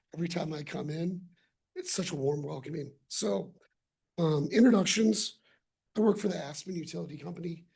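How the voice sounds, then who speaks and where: Fairly low in pitch, a woman with a dark, mellow, somewhat breathy voice talks at a fairly quick pace with ordinary pitch variation and long, frequent pauses. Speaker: utility contractor representative. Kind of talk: public presentation. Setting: city council meeting.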